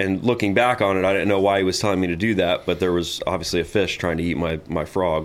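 Someone with an American accent talks at a very fast pace with hardly any pauses. The intonation is fairly even and the loudness very even. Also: man, very deep, low pitch for a man. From Florida Gulf Coast (Tarpon Springs). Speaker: fishing guide. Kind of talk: casual interview.

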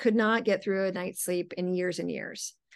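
A woman talks with an unremarkable speaking voice at medium pitch. Her intonation is fairly even, and the background is quiet. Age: 40s. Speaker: neurofeedback practitioner. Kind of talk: interview.

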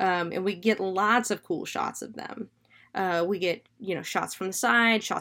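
A natural voice reads aloud. Its pitch moves in an ordinary way.

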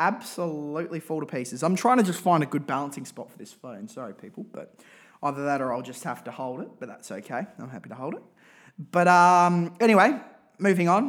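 A man speaks at a fairly quick pace with an Australian accent, his pitch swinging very widely and his loudness rising and falling sharply. The recording is very clean, with a silent background. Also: fairly high pitch for a man. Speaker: podcast host and football supporter. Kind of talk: angry rant about football team, casual podcast monologue. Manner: animated, ranting, exasperated, over-the-top; repetitive, emphatic.

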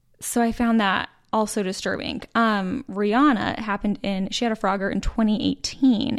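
An ordinary speaking voice from a woman with an American accent, fairly high in pitch with fairly even intonation, on a very clean recording with a silent background. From Utah. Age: 30s. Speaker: podcast co-host. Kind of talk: casual chat.

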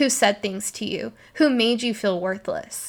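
A woman talks at a fairly high pitch. The recording is very clean, with a silent background. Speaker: podcast host, spiritual coach. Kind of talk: casual monologue. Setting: recording at night on her bed. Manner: animated.

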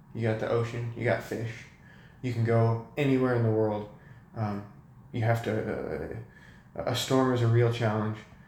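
Amid noticeable background noise and audible room echo, a man with an American accent speaks at a moderate pace and medium pitch in a monotone, flat intonation, with long, frequent pauses. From California, Sacramento. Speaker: university student. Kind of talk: casual chat.

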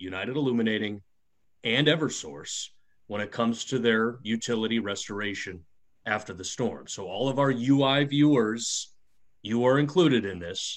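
A man with an American accent talks at a moderate pace in an unremarkable speaking voice, with ordinary pitch variation, on a very clean recording with a silent background. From US Midwest. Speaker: podcast co-host, former radio host. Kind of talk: casual chat.

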